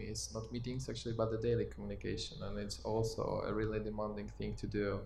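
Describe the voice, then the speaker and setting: Talking very fast with a Polish accent, a man is heard with audible room echo. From Poland. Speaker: podcast host, communication specialist. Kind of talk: panel discussion. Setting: live recording at company event.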